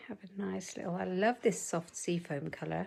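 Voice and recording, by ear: A woman puts on a croaky character voice at a fairly low pitch. She speaks at a moderate pace.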